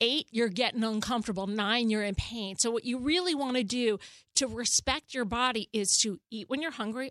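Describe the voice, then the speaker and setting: A woman with a normal speaking voice talks at a fairly high pitch and a fairly quick pace, with ordinary pitch variation. The sound is dry and close with no echo over a quiet background. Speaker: therapist and author. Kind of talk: advice conversation. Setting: studio.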